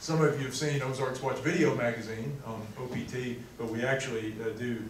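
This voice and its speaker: Delivered at a moderate pace with fairly even intonation, the speech carries noticeable background noise and audible room echo. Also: man. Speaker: lecture host introducing the speaker. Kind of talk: introduction speech. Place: classroom. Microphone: camera far.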